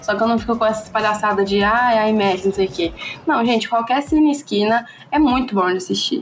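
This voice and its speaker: Using a plain, everyday voice, a woman speaks fairly quickly at a fairly high pitch with ordinary pitch variation and very even loudness. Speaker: podcast host. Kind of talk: casual chat.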